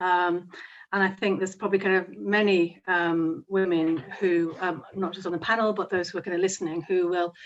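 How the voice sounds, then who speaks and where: Her intonation monotone and flat, a woman speaks in a Yorkshire accent. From Yorkshire, northern England. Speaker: barrister. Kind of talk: panel discussion.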